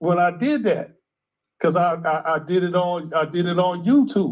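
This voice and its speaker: A man's high voice, lively in intonation, at a fairly slow pace. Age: 60s. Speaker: caller. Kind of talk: casual chat. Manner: halting.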